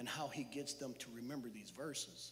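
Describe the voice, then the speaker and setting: Recorded with audible room echo, a man talks loudly at a moderate pace in a bright, sharp tone. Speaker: church speaker. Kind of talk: sermon. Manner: animated.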